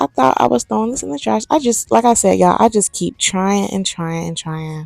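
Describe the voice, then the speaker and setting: Talking at a fairly quick pace, a woman's loudness swings a lot in a dry, close sound with no echo. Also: hardly any pauses. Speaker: sewing vlogger. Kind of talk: casual voiceover vlog. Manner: casual, chatty.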